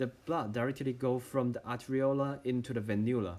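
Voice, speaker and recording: A man speaks with a Chinese accent. His voice sits at a medium pitch. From China. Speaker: medical student. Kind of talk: tutorial. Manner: halting.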